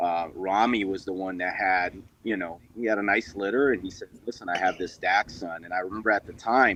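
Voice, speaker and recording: Speaking at a fairly quick pace, a man with a fairly low pitch keeps his intonation fairly even. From Brazil, São Paulo. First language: Portuguese. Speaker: dog breeder and military veteran. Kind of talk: casual chat.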